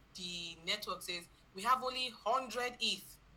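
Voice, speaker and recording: There is audible room echo around a woman's voice. She speaks at a moderate pace with ordinary pitch variation. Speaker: blockchain bootcamp instructor. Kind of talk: online lecture. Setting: video call with screen share.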